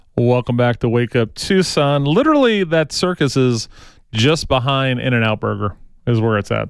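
Pitch varies in an ordinary way in an unremarkable speaking voice. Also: man. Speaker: radio host. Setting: studio, with callers on the phone. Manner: fast, upbeat and ad-libbed, tripping over words ("Man, I went too fast").

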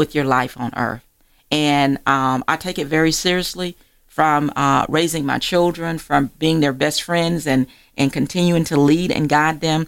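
A woman speaks at a fairly slow pace with fairly even intonation and a very deep, low pitch. The recording is very clean, with a silent background. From Georgia, US South (rural area near Augusta). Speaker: magazine publisher and author. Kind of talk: radio interview.

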